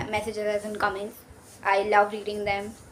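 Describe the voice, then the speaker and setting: In an Indian accent, a woman speaks at a medium pitch and a moderate pace. Background noise is noticeable. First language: Hindi. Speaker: YouTuber. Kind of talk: casual vlog talk. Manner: halting.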